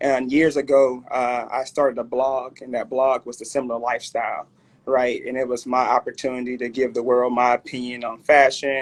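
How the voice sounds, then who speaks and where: Speaking with a Southern US accent at a moderate pace, a man uses a medium pitch and monotone, flat intonation. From Alabama, Mobile. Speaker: clothing brand owner. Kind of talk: interview.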